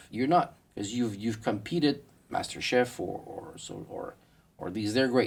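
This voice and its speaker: A man's voice shows ordinary pitch variation. Its loudness swings widely. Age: 50s. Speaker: chef instructor. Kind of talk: interview. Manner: fast.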